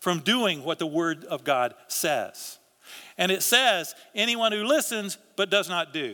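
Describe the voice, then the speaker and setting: In a very clean recording against a silent background, a man's high, raised, projected voice swings very widely in pitch. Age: 60s. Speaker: pastor. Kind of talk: sermon. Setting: church. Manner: halting.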